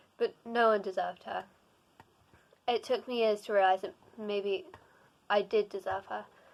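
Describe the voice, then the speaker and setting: A woman speaks with big swings in loudness and long, frequent pauses. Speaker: booktuber reading fanfiction. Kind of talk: reading aloud. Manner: fast; halting with frequent self-corrections.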